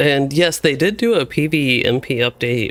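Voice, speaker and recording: With an American accent and lively intonation, a man talks over noticeable background noise. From US South, Louisville, Kentucky. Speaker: gaming streamer. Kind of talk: live gameplay stream chat. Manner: casual, rambling with fillers.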